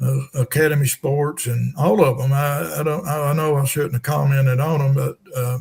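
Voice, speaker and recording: This man's voice sits fairly high and is somewhat breathy. His delivery keeps a moderate pace. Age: 70s. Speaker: retired tournament director and angler. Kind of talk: podcast interview.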